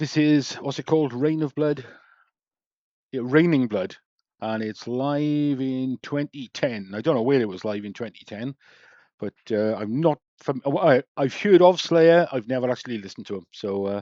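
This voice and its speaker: Dry and close with no echo, a man's voice has a dark, mellow tone at a medium pitch. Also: ordinary pitch variation, moderate pace, quiet background. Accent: English. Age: 60s. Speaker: YouTube reactor. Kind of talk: reaction commentary.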